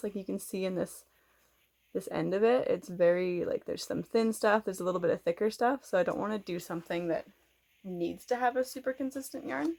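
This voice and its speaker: With a western Canadian accent, a woman of medium pitch speaks at a fairly quick pace, her intonation lively and her loudness swinging widely. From Canada. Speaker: knitting podcaster. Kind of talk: casual vlog chat. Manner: fast.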